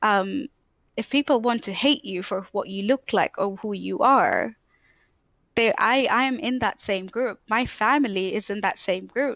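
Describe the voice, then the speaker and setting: In a dry, close recording with no echo and a quiet background, a woman speaks at a fairly slow pace and fairly high pitch with ordinary pitch variation. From Tanzania. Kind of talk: casual interview chat.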